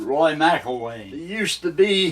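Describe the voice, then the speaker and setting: Very slowly, a man talks with an American accent. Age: 80s+. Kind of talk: interview answer. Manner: reminiscing, rambling.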